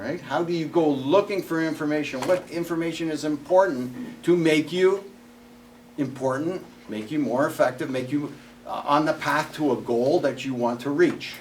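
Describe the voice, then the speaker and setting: At a moderate pace, a man with a fairly high voice speaks with ordinary pitch variation over noticeable background noise. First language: not English. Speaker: workshop speaker, former salesperson. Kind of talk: presentation to an audience. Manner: conversational.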